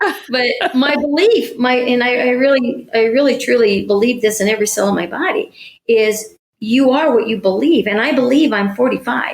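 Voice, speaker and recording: With ordinary pitch variation and a moderate pace, a woman talks in a high-pitched voice. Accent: American. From US Midwest. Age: 70s. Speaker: spiritual coach. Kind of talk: podcast interview.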